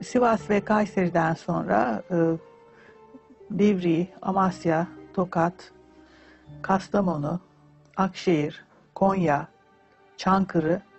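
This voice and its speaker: Faint music sits behind a woman who speaks at a very slow pace with long, frequent pauses, very even loudness, and ordinary pitch variation. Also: fairly low pitch for a woman. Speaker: interviewee. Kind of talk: interview answer. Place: studio.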